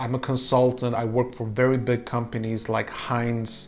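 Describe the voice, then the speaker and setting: Noticeable background noise sits behind a man's voice. His pitch is medium and his intonation flat and monotone. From Poland. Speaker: YouTuber and podcaster. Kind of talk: vlog monologue. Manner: halting, many fillers.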